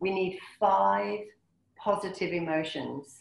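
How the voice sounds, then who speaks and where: A woman speaks with vocal fry. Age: 50s. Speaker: motivational speaker and wellbeing consultant. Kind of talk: webinar presentation. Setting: video call.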